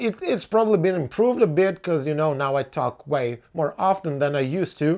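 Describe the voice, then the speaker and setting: Speaking fairly quickly with hardly any pauses, a man with a Ukrainian accent uses lively intonation at a fairly high pitch. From Ukraine. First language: Ukrainian or Russian. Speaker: blues musician. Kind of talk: casual Q&A podcast monologue. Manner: hesitant, many fillers and repetitions.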